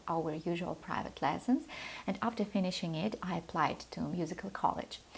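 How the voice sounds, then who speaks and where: Speaking at a moderate pace, a woman with a Russian accent has a medium-pitched, somewhat breathy voice. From Moldova. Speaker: piano teacher. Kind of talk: channel introduction talk.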